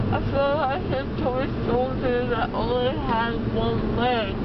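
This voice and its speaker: Through loud background noise, a woman speaks at a very slow pace. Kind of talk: casual chat. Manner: groggy, slurred, sedated post-surgery voice. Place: car. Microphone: camera far.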